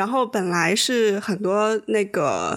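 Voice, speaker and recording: This woman has a plain, everyday voice. Her pitch sits at a medium level. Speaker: podcast co-host. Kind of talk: casual chat.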